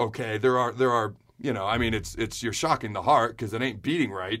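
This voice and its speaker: A man's voice has a bright, sharp tone. The recording is very clean, with a silent background. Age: 30s. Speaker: podcast host. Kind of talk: personal health update monologue. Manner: fast.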